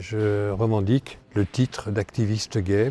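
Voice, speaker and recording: A man speaks at a fairly low pitch. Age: 70s. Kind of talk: interview testimony. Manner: hesitant, many fillers.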